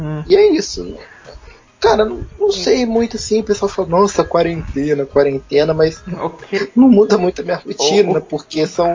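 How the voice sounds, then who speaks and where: The speech moves at a moderate pace with lively intonation against noticeable background noise. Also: man, high pitch for a man. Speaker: podcast co-host. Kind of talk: casual chat.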